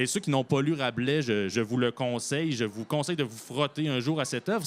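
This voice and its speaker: A man with an ordinary speaking voice, medium pitch, ordinary pitch variation, and moderate pace. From Quebec, Bellechasse (south shore). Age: 30s. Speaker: novelist. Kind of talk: interview.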